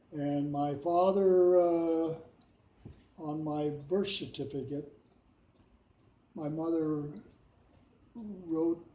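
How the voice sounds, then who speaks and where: Speaking very slowly in an American accent, a man with a fairly high pitch shows ordinary pitch variation amid audible room echo. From US Pacific Northwest, Washington. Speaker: war veteran. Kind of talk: oral history interview. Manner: halting.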